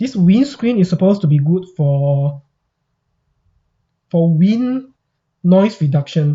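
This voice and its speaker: The speaker goes at a very slow pace, with long, frequent pauses. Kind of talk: casual unboxing talk to camera.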